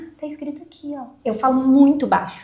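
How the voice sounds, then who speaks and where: A woman talks at a fairly quick pace, with audible echo in the room. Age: 30s. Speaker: lawyer. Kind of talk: podcast interview.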